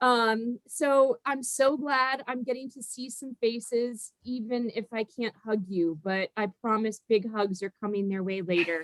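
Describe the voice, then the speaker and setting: With a Minnesotan accent, a woman speaks at a fairly slow pace and fairly high pitch, with hardly any pauses and big swings in loudness. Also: ordinary pitch variation, dry, close sound with no echo. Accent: Minnesota. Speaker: reunion moderator, alumni volunteer. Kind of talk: video call moderation. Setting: video call.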